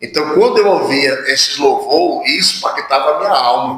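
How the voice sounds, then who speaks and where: There is audible room echo. A man talks at a moderate pace within it. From Northeast Brazil, Fortaleza, Ceará. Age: 30s. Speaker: pastor. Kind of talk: testimony.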